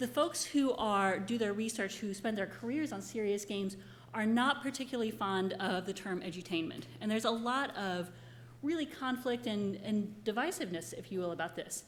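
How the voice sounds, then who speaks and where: A woman speaks at a moderate pace and a medium pitch, with lively intonation and vocal fry. Room echo is audible. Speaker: professor. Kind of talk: conference presentation. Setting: conference room with audience. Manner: loud; animated.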